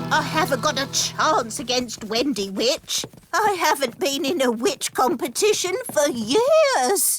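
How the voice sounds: Faint music plays behind a cartoonish character voice with high pitch. It moves at a fairly slow pace with hardly any pauses.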